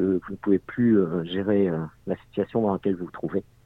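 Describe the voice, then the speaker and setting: A man's fairly low voice at a moderate pace, with ordinary pitch variation and a plain, everyday voice. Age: 40s. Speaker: unemployed father in debt. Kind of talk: testimony.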